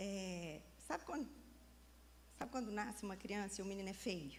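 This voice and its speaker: With a Minas Gerais accent, a woman speaks in an animated tone, and the room echo is audible. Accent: Minas Gerais (mineiro) Brazilian Portuguese. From Brazil, Minas Gerais. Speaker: preacher. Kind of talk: sermon.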